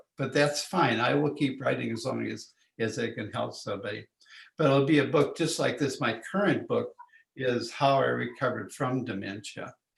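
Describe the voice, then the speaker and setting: A man speaks with vocal fry. His pace is moderate. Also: medium pitch for a man, ordinary pitch variation. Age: 80s+. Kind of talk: interview. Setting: in person, came in to the office. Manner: halting, many restarts.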